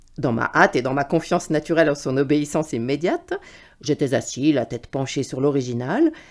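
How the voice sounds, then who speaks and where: A woman with a very deep, low pitch, talking at a fairly quick pace. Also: ordinary pitch variation. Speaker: voice reader. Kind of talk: literary prose reading.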